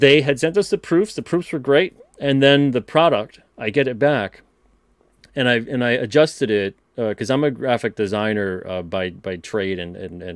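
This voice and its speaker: At a moderate pace, a man with a medium pitch makes very wide pitch swings and big swings in loudness. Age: 30s. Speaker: comic book publisher and writer. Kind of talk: casual interview. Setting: live stream.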